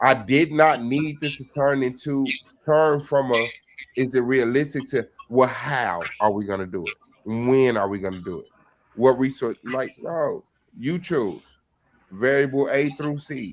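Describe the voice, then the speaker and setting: A normal speaking voice comes from this man, medium in pitch. His pitch variation is ordinary, and his pace is fairly slow. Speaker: debater. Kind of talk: casual chat.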